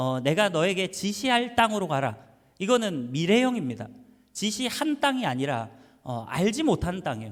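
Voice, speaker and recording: Speaking with a Busan accent, a man uses a high pitch and very wide pitch swings. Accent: Gyeongsang (Busan) dialect. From Busan, South Korea (Yeongdo; Seoul until middle school). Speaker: pastor. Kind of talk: sermon. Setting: church. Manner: casual, hesitant with many fillers.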